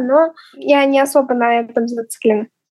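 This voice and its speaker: A woman's high-pitched voice in monotone, flat intonation, in a dry, close sound with no echo. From Tatarstan, Russia (village). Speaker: interviewee. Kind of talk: interview testimony.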